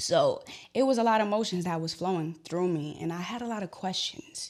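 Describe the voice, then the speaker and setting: Lively intonation runs through this woman's fairly low-pitched voice. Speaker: podcast host. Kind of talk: personal testimony. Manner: emotional, voice cracking.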